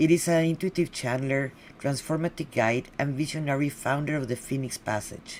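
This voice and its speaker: A fairly quick pace in a Spanish accent. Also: woman. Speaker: podcast host. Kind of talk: guest introduction. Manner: halting.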